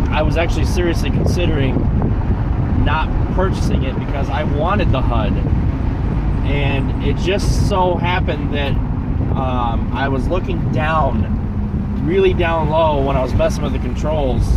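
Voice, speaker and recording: With loud noise behind him, a man speaks in a dry sound that has no echo. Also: fairly slow pace. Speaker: car owner vlogger. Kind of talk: casual vlog chat. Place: car. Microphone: phone near.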